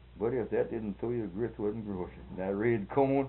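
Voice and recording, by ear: Moderate-paced male speech, fairly low in pitch, with ordinary pitch variation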